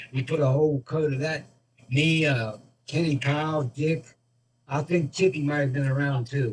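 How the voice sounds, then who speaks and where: A man with a fairly high voice speaks at a moderate pace, somewhat breathy, with fairly even intonation and long, frequent pauses. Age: 70s. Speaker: retired refrigeration worker. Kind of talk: casual chat. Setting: video call.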